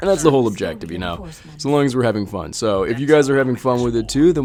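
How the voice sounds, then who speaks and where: Amid noticeable background noise, a man at a medium pitch talks at a very fast pace with lively intonation. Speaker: gaming YouTuber. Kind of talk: gameplay commentary. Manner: animated.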